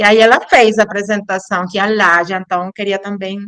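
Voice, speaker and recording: The pace stays moderate. A woman talks in a non-native accent. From Colombia, Caribbean coast (Cartagena). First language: Spanish (speaking Portuguese). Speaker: anthropology professor and researcher. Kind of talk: academic lecture. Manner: halting, with false starts.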